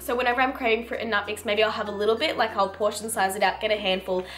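Light background noise sits under a woman's voice. She speaks at a very fast pace with fairly even intonation. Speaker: lifestyle vlogger. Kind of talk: casual vlog chat. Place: kitchen. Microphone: camera far.

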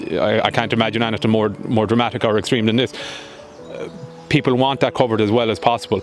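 The sound is dry with no echo, the intonation fairly even, and faint music plays in the background. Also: man. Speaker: newspaper journalist. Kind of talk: interview answer. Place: garden. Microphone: handheld.

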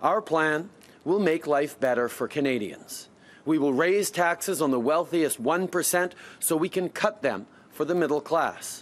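A man talks at a moderate pace, and his pitch shifts in an ordinary way. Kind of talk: campaign speech. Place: open country. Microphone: podium.

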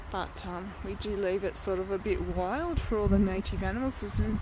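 A woman talks at a fairly slow pace. The sound is dry with no echo, over noticeable background noise. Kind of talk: casual vlog chat. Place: open country. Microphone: phone near.

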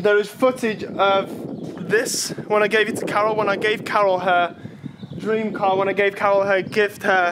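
A man with a high voice talks at a moderate pace in a monotone, flat intonation, with noticeable background noise. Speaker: vlogger. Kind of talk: casual vlog chat. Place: garden. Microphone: phone near.

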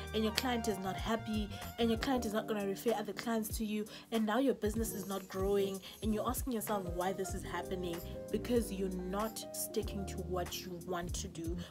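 With clear music in the background, a woman speaks fairly quickly in a Zimbabwean accent. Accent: Shona (Zimbabwean). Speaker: makeup artist. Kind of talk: casual talk to camera. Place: home room. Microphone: phone near.

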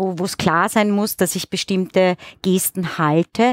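A woman talks at a very slow pace, the background quiet. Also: dry sound with no echo. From Austria, Styria. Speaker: actress, singer and music teacher; actress, music teacher. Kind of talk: interview. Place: studio. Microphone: headset.

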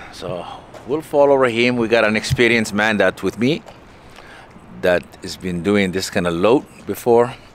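The pace is moderate, with long, frequent pauses and ordinary pitch variation. The sound is dry with no echo, and there is light background noise. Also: man, fairly low pitch for a man. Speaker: truck driver. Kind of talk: vlog narration while working. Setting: outdoors at loading site and truck. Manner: halting, casual. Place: street. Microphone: phone near.

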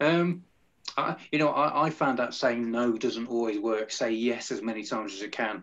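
A man speaks with an English accent. His pitch varies in an ordinary way. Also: moderate pace. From England. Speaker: music podcast host and radio presenter; music podcast host, radio presenter. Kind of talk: casual interview. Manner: animated. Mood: friendly, relaxed. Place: home room. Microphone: video call.

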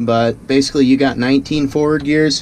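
A man at a fairly quick pace amid light background noise. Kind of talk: casual vlog tutorial. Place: farm machine. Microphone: phone near.

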